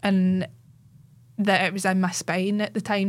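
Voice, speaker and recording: In a Central Belt Scottish accent, a woman speaks with monotone, flat intonation on a very clean recording with a silent background. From Scotland, Cumbernauld. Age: 30s. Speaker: cancer patient and Instagram advocate. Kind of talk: casual interview chat. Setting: studio.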